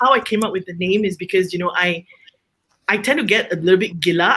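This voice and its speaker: A woman speaks at a very fast pace. Her pitch sits at a medium level. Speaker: home baker and small business owner. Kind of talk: panel discussion. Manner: loud; outspoken.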